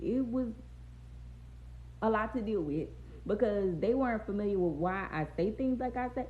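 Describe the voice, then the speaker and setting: A woman with an American accent and some vocal fry speaks at a moderate pace and medium pitch, animated and with lively intonation, with audible room echo around her. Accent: Louisiana Southern accent, noticed by others. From Louisiana, Baton Rouge area (US South). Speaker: live streamer. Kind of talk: casual livestream chat. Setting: TikTok live stream.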